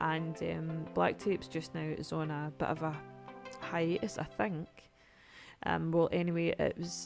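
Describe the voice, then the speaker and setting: A woman at a fairly slow pace with long, frequent pauses, music playing in the background. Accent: Scottish. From Scotland. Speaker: gamer. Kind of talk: casual gameplay commentary.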